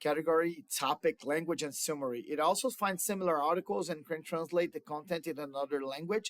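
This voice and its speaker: A man with a Brazilian Portuguese accent talks at a fairly quick pace with a fairly high pitch and ordinary pitch variation. The sound is dry and close, with no echo. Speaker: student. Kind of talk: class project presentation. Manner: halting, with fillers.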